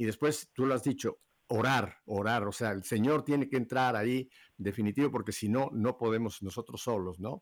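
An unremarkable speaking voice at a moderate pace, with ordinary pitch variation, on a very clean recording with a silent background. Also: man. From Mexico City. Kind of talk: live radio interview. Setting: radio studio.

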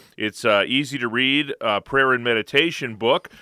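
A man speaks with a plain, everyday voice at a medium pitch. His pace is moderate, with ordinary pitch variation. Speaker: radio co-host. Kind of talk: call-in radio show. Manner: upbeat.

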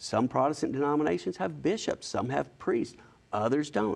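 A man with an Alabama accent at a moderate pace, against a quiet background. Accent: Southern US (Alabama). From US South, Alabama (Huntsville). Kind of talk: interview.

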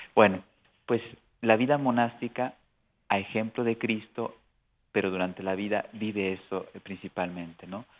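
A man speaks at a fairly slow pace, with long, frequent pauses. His pitch is fairly low, and his intonation stays fairly even. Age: 50s. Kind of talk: radio interview.

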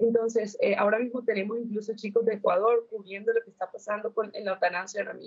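A woman at a fairly quick pace. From Colombia. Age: young. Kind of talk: interview.

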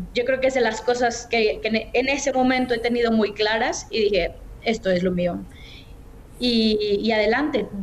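Fairly high-pitched female voice with a Mexican accent, moderate pace, ordinary pitch variation and very even loudness, over noticeable background noise. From Mexico, Guadalajara. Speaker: journalist and communications manager. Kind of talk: interview.

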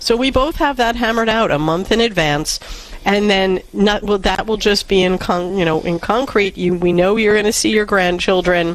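Over noticeable background noise, a woman speaks at medium pitch and a moderate pace, with ordinary pitch variation and very even loudness. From New York. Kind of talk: call-in advice show.

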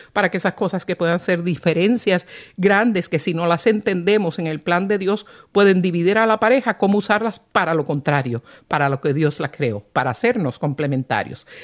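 On a very clean recording with a silent background, a woman's pitch swings very widely. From Puerto Rico. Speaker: radio host. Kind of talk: live radio talk show. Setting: studio.

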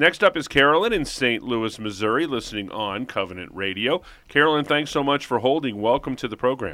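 Here a man has a medium pitch and a plain, everyday voice. He speaks at a fairly quick pace with lively intonation and hardly any pauses. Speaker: radio show co-host. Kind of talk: casual radio call-in show. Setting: studio.

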